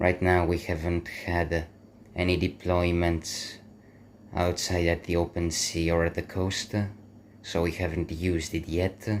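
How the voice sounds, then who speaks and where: A man's very deep, low voice in a flat monotone, fairly slow, with a non-native accent. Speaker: airsoft hobbyist. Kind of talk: gear showcase talk to camera.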